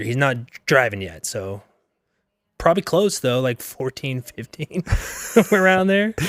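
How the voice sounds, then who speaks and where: Long, frequent pauses break up a man's fairly slow, fairly high-pitched speech, with very wide pitch swings and a dry, close sound free of echo on a very clean recording with a silent background. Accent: American. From western Pennsylvania. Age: 20s. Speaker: campus pastor. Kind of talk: casual interview chat.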